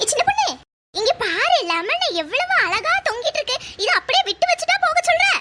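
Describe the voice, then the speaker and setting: A woman's cartoonish character voice at an extremely high pitch, with lively intonation and a moderate pace. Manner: grumbling, bossy.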